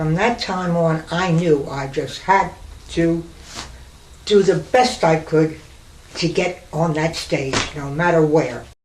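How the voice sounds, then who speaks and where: A woman speaking at a very slow pace, fairly low in pitch with ordinary pitch variation, long, frequent pauses, audible room echo and noticeable background noise. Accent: American. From New York City. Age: 90s. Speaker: retired burlesque dancer. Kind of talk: oral history reminiscence.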